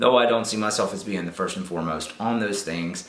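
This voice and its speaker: A man with a Southern US accent at a very fast pace, with noticeable background noise. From Southern United States. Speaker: YouTuber. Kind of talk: casual talk to camera. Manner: upbeat, chatty.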